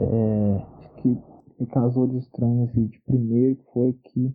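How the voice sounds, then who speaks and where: A man speaks at a moderate pace with a medium pitch and flat, monotone intonation. Music plays in the background. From Minas Gerais, Brazil. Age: 20s. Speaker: construction worker. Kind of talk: recorded personal testimony. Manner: hesitant, repeated words.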